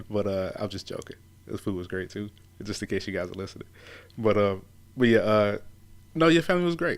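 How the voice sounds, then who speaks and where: Speaking at a very fast pace, a man talks in a Southern US accent. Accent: mild Southern. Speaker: radio host. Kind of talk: casual conversation.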